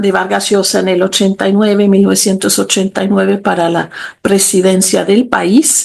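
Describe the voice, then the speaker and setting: A woman's medium-pitched voice at a moderate pace. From Switzerland. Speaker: literature professor. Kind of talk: interview. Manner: halting, with fillers and repetitions.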